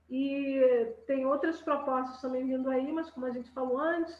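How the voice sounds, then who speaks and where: Over noticeable background noise, a woman talks at a moderate pace in a high voice. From Rio de Janeiro, born in Belém (Pará). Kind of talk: casual chat. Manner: halting.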